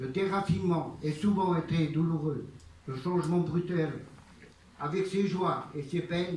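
The pace is fairly slow. Audible echo from the room surrounds the speech. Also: man. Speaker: master of ceremonies, local official. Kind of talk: formal ceremonial speech.

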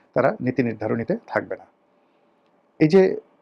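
A man's fairly high-pitched, lively intonation and an ordinary speaking voice, in a dry, close sound with no echo. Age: 50s. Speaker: political commentator. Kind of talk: political commentary monologue.

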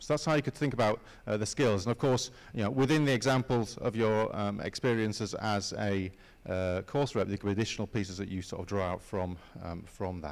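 Using a normal speaking voice, a man of fairly low pitch talks at a fairly quick pace with ordinary pitch variation. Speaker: university careers adviser; presenter. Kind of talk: presentation to student assembly. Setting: stage with audience. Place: hall.

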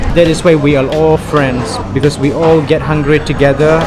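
There is clear music in the background as a man talks at a fairly slow pace. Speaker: travel vlogger. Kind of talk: casual vlog chat. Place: cafe. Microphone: phone near.

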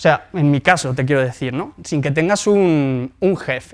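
A man with lively intonation talks at a fairly slow pace, the background quiet. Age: 20s. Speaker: entrepreneur and blogger; blogger. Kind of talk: lecture; conference talk, personal story. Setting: stage with audience. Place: hall.

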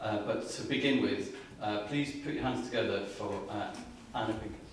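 Amid audible room echo, a man with a fairly low pitch and ordinary pitch variation talks at a moderate pace.

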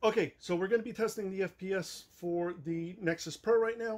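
A man with a high voice and ordinary pitch variation talks at a moderate speed. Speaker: toy blaster reviewer. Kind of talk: casual review talk. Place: garage. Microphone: camera far.

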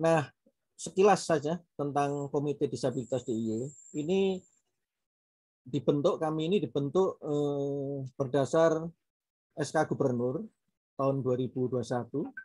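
Against a quiet background, a man with a fairly high pitch and ordinary pitch variation talks at a very slow pace with long, frequent pauses. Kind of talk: panel talk. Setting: video call. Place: home room. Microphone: video call.

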